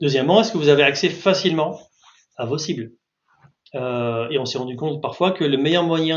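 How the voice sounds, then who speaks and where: The man's pitch sits fairly high, with ordinary pitch variation. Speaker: market research consultant. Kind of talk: webinar presentation. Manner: fast.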